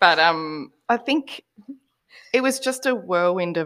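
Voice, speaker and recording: A woman with an Australian accent speaks at a fairly slow pace. Her pitch is medium, with very wide swings. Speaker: podcast guest. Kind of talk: casual chat. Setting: video call.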